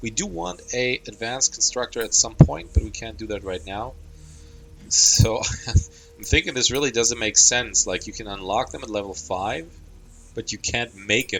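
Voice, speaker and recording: A man's medium-pitched voice at a moderate pace, with ordinary pitch variation, big swings in loudness and music in the background. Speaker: gaming youtuber. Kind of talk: let's play commentary. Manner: casual with fillers.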